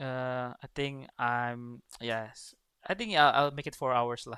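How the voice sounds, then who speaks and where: Speaking at a fairly slow pace, a man with an Indonesian accent has a bright, sharp tone. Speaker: esports coach and caster. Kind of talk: livestream casual chat. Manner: halting.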